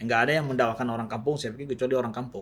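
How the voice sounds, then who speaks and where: A man speaks with fairly even intonation. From Aceh, Indonesia. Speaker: Islamic preacher. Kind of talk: podcast interview. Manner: halting, many fillers.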